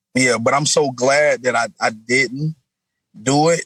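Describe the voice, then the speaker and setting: Delivered at a fairly slow pace, the voice has a dry, close sound with no echo. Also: man. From US South, South Florida (West Palm Beach). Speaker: rapper. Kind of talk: interview. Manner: casual, animated.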